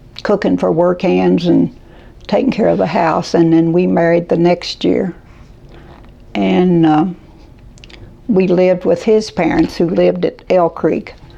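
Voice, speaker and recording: Amid noticeable background noise, a woman speaks at a fairly slow pace with long, frequent pauses and very even loudness. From Kentucky. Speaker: caregiver. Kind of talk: interview answer.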